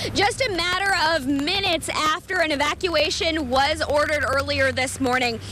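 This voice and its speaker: A woman projects a high-pitched, raised voice at a very even loudness and a moderate pace, with hardly any pauses. Her pitch varies in an ordinary way, and noticeable background noise is present. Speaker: TV news reporter and anchor. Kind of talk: TV news anchor read.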